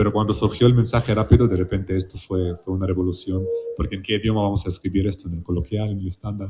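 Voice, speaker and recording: Somewhat breathy, a man talks at a very fast pace, his pitch fairly low and his intonation fairly even. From Palestine. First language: Palestinian colloquial Arabic (speaking Spanish). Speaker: literary translator. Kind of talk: panel discussion. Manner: halting, with frequent repetitions and fillers.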